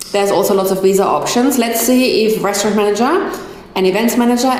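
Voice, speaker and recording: There is audible room echo and noticeable background noise as a woman with a German accent speaks at a medium pitch. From Germany. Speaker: migration agent. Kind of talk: live stream Q&A talk. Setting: live stream. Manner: halting over difficult words.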